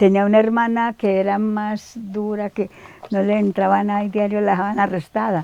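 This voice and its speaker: At medium pitch, a woman speaks in a monotone, flat way. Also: moderate pace. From Colombia, Antioquia (Támesis rural). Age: 80s+. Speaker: elderly villager interviewee. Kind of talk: interview. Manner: halting.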